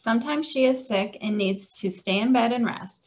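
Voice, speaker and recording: Somewhat breathy speech proceeds at a moderate pace, the pitch varying in an ordinary way. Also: woman. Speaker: client services coordinator at a cancer wellness center. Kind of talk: children's storybook reading.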